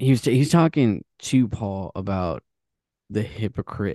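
Dark, mellow male speech at a fairly slow pace, dry and close with no echo, over a quiet background. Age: 30s. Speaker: podcast co-host. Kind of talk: casual chat.

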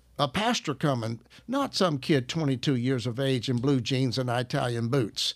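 In a Southern US accent, a man talks at a moderate pace and medium pitch with ordinary pitch variation, recorded very cleanly over a silent background. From US South, Arkansas. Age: 70s. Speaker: minister. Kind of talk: casual chat.

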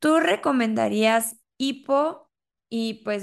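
A woman with a Mexican accent speaks at a fairly high pitch over a quiet background. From Mexico. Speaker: podcast host. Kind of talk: casual chat.

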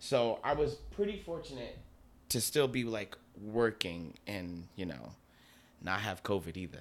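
A man with an American accent speaks at a fairly slow pace, his fairly low voice carrying lively intonation over a very clean recording with a silent background. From Newark, New Jersey. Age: young. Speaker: dancer and choreographer. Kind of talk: casual chat. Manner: animated.

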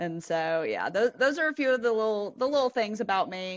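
A woman with a South Carolina accent speaks with lively intonation. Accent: Southern US (South Carolina). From US South. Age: 30s. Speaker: telecom industry professional. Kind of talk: casual interview.

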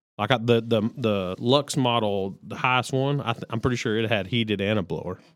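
Speaking at a fairly quick pace with hardly any pauses, a man talks with a Texan accent. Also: medium pitch for a man, ordinary pitch variation. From Texas. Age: 40s. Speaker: podcast co-host. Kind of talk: casual chat.

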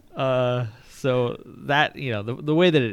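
With an American accent, a man at medium pitch speaks in an ordinary speaking voice with lively intonation. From rural Nebraska. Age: 30s. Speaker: sports journalist. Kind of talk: casual interview.

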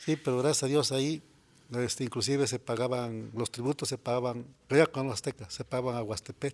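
Recorded very clean with a silent background and a dry, close sound with no echo, a man speaks at a fairly quick pace in an unremarkable speaking voice of medium pitch. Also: fairly even intonation. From Mexico, Morelos (Xalostoc). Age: 60s. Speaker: farmer. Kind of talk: interview. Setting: studio.

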